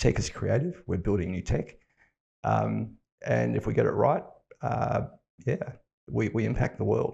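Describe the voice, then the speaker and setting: A man talks with an Australian accent. His pace is fairly quick. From Western Australia (Fremantle, Perth). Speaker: tech company founder and CEO. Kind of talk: podcast interview. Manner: casual, with fillers and restarts.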